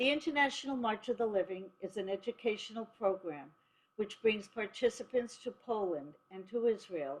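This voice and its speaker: A woman speaks at a moderate pace with an ordinary speaking voice. Her pitch is medium, with ordinary pitch variation. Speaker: organization president. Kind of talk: formal webinar introduction.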